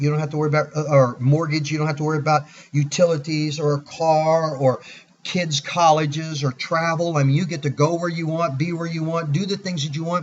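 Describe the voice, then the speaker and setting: A somewhat breathy man at a fairly quick pace. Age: 60s. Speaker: product presenter. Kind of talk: sales pitch. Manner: animated.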